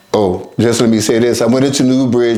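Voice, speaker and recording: Audible room echo and noticeable background noise fill this recording. A man with an American accent speaks at medium pitch in a monotone, flat intonation. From US West Coast, Oakland, California. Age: 70s. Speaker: recovering addict sharing life story. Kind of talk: testimony. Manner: halting.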